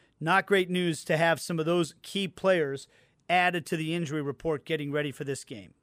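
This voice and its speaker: Recorded very cleanly over a silent background, a man with a fairly high pitch talks at a moderate pace. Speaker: radio host and match broadcaster. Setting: radio studio. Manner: energetic, fluent, upbeat.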